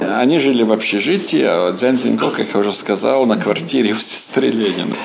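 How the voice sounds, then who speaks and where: A man's voice against noticeable background noise. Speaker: museum guide. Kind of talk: interview tour talk. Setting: in a museum.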